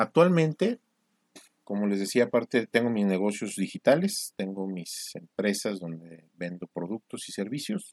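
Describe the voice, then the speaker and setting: Loudness swings widely as a man talks in a plain, everyday voice at a fairly low pitch and fairly slow pace, with lively intonation and a dry, close sound with no echo. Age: 40s. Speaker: entrepreneur podcaster. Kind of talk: solo monologue podcast.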